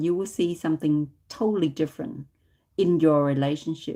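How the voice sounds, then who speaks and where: Against a very clean recording with a silent background, a woman speaks in a dark, mellow tone at a fairly low pitch. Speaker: tarot reader. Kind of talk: live stream tarot reading. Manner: loud.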